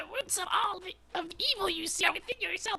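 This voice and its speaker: A man does a squeaky put-on character voice at an extremely high pitch and a fairly quick pace. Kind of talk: mystical storytelling. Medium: read story. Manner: calm, measured, sage-like.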